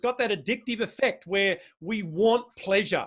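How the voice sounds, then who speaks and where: A man speaks with ordinary pitch variation. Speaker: speaker on neuroscience of change. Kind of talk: webinar presentation. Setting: video call.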